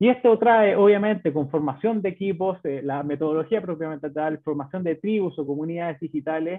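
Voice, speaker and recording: In a Chilean accent, a man with a high pitch speaks with ordinary pitch variation against a quiet background. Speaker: bank business manager presenting; presenter. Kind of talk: webinar presentation. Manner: halting, many fillers and repetitions. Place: home room. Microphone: webcam.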